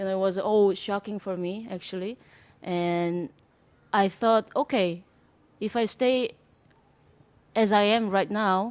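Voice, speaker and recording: A woman's medium-pitched voice with a Korean accent, fairly even intonation and long, frequent pauses, on a very clean recording with a silent background. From South Korea. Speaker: jazz drummer. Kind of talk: interview. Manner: hesitant, many fillers.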